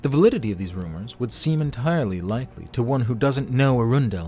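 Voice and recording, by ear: Lively in intonation, the speaker is reading aloud in a natural voice.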